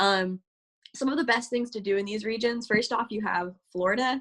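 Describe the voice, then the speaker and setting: A woman with an American accent talks at a moderate pace, fairly high in pitch, with ordinary pitch variation. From US South, Georgia. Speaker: university student presenter. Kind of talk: webinar presentation. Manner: halting, many fillers and repetitions.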